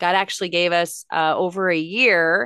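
An animated speaker with an American accent talks against a quiet background. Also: woman. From Los Angeles, California. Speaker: motivational speaker and success coach. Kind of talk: casual interview chat. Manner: animated, laughs often.

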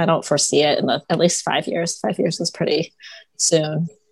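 A woman with a fairly low voice speaks at a moderate pace, recorded dry and close with no echo. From US Midwest, Toledo, Ohio. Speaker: dermatologist. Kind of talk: interview.

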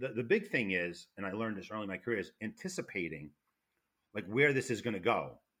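Talking at a very fast pace, a man with a New York accent uses a fairly low pitch and lively intonation. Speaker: retired federal fire investigator. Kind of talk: interview. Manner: loud.

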